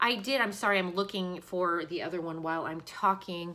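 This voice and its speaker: Heard on a very clean recording with a silent background, a woman at medium pitch speaks in a bright, sharp tone. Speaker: beauty vlogger. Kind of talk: casual product review. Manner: casual, filler-heavy.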